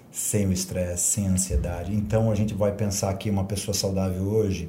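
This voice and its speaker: A man speaks at a moderate pace with a fairly low pitch and fairly even intonation. His tone is dark and mellow, somewhat breathy, with audible room echo. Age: 50s. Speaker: martial arts and fitness instructor. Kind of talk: casual interview chat.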